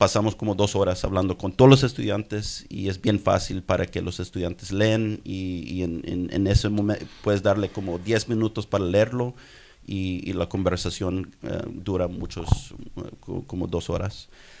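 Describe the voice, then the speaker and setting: At a moderate pace, a man speaks with an American accent. His pitch sits fairly low, and his intonation stays fairly even. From US, Houston, Texas. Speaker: doctor and writer. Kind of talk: audience comment at conference. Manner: halting, many repetitions.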